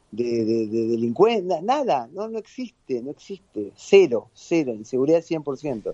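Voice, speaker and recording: A man speaks at a very slow pace in a fairly high voice with a dark, mellow tone and very wide pitch swings. The sound is dry and close, with no echo. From Argentina. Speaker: lawyer, football fan. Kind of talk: radio interview.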